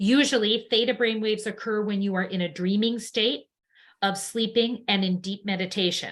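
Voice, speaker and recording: In an ordinary speaking voice, a woman talks at a moderate pace and a fairly high pitch with fairly even intonation. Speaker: sound healing teacher. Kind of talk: lecture. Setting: live online class.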